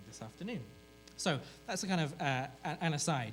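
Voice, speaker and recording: Lively intonation from a man with a British accent, at a fairly quick pace, with audible room echo. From Britain. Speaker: journalism professor and researcher. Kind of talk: conference presentation. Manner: hesitant, with many fillers.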